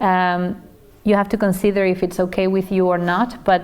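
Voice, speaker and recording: A woman in a Spanish accent at medium pitch, with monotone, flat intonation, a moderate pace and audible room echo. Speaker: teacher trainer. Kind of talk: lecture. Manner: hesitant with fillers.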